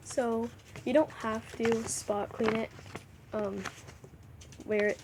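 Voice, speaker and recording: Woman speaking at a fairly slow pace over noticeable background noise. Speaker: hamster care reviewer. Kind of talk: casual talk to camera.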